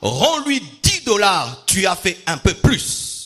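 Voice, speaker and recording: Music plays in the background as a man speaks in a high pitch. His voice makes very wide pitch swings. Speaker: pastor. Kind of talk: sermon. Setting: church. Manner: carefully articulated; repetitive emphatic.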